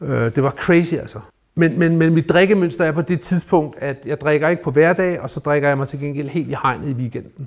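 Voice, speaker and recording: A man's fairly high-pitched voice comes through at a moderate pace. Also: ordinary pitch variation. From Denmark, North Zealand (Rungsted). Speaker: recovering alcoholic, investor. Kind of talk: personal testimony in interview. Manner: halting, many repeated words.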